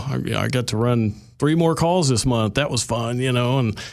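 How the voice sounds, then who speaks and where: On a very clean recording with a silent background, a man with an Oklahoma accent talks at a moderate pace in a medium pitch. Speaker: paramedic. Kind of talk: radio interview.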